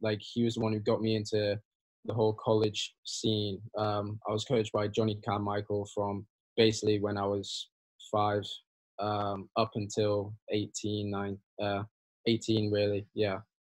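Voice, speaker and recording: A man speaks with a Yorkshire accent in a fairly low voice. His delivery is fairly slow, with monotone, flat intonation. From northern England, Hull. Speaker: college tennis player. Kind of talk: interview.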